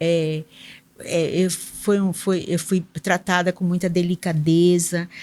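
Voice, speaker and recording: Very slowly, a woman speaks at a fairly low pitch in a flat monotone with very even loudness. The recording is very clean, with a silent background. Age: 60s. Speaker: public sector auditor, engineer. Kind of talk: podcast interview. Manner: halting, many fillers and repetitions.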